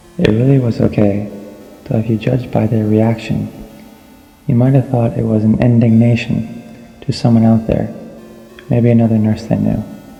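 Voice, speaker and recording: At a moderate pace with long, frequent pauses, the voice stays monotone and flat at a very even loudness while music plays in the background. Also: man, medium pitch for a man. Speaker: audiobook narrator. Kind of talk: audiobook reading. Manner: dramatic reading.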